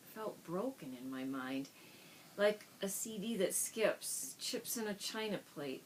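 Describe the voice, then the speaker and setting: Noticeable background noise sits behind a woman speaking at a very slow pace. Her medium pitch swings very widely. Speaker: author and brain injury survivor. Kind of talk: reading aloud from own book. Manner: stutters at times; hesitant, with fillers.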